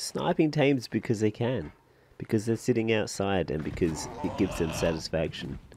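A man speaks with lively intonation. His pitch sits fairly low. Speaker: gaming YouTuber. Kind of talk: gameplay commentary with casual chat. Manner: quiet; casual.

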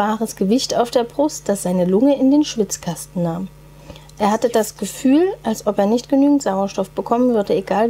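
This is an unforced reading voice. The text is read aloud.

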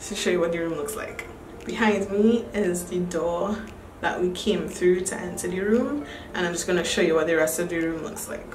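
A woman talks at a moderate pace with ordinary pitch variation. There is light background noise and audible room echo. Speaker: vlogger. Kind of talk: casual vlog chat. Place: home room. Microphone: phone near.

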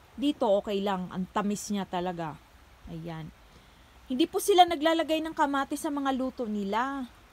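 A woman's high-pitched voice moves through very wide pitch swings and big swings in loudness. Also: moderate pace, dry sound with no echo. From Philippines. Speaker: vlogger. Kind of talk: casual vlog narration. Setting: outdoors. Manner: casual, repetitive. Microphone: phone near.

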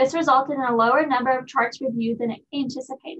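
This woman has a high voice. She speaks at a fairly quick pace. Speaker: presenter. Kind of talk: research presentation. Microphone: webcam.

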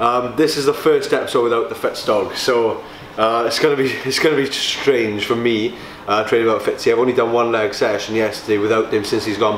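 A man speaks with fairly even intonation, with light background noise and audible room echo. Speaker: bodybuilder vlogger. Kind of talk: casual vlog chat. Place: gym. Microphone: camera far.

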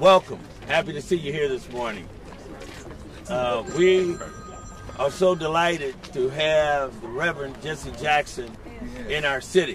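A man speaks at a fairly slow pace with a fairly high pitch, ordinary pitch variation and long, frequent pauses, in a dry recording with no echo and light background noise. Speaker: community organizer. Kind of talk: press conference opening remarks. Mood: earnest, advocacy tone. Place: street. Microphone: podium.

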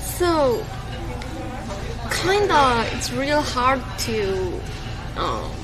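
A woman with a non-native accent speaks while music plays clearly in the background. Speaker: streamer. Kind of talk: casual chat. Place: cafe. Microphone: phone near.

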